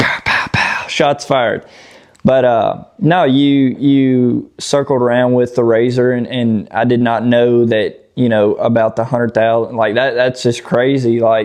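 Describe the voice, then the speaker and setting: A man at medium pitch with a Southern US accent, fairly even intonation, and a fairly slow pace. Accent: Southern drawl. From Tennessee. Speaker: off-road YouTuber. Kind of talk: casual podcast chat. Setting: outdoors.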